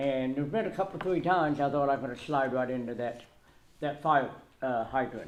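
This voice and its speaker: This man talks at a moderate pace, his pitch fairly high and its variation ordinary. Some room echo is audible around him. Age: 60s. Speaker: resident speaking at public comment. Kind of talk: public comment at council meeting. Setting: town council meeting room. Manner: halting, many fillers and repetitions.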